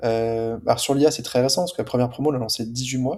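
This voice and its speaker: Talking at a very fast pace, a man with a medium-pitched voice has a dark, mellow tone. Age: 40s. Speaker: school founder and entrepreneur. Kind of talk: podcast interview. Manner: casual.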